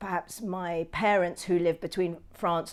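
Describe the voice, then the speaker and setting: Speaking with a London accent, a woman uses a fairly low pitch and a monotone, flat intonation on a very clean recording with a silent background. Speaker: documentary filmmaker. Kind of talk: interview answer. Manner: hesitant, thoughtful.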